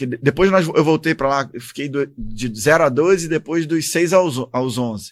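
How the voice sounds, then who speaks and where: Speaking at a moderate pace with hardly any pauses, a man with a Rio de Janeiro accent uses a fairly high pitch and ordinary pitch variation. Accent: carioca. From Rio de Janeiro, Brazil. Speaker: army officer and former congressman. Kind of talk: interview.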